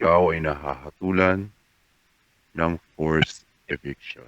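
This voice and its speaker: Putting on a character voice, a man booms in a very deep, low pitch with monotone, flat intonation at a fairly slow pace. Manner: formal announcement.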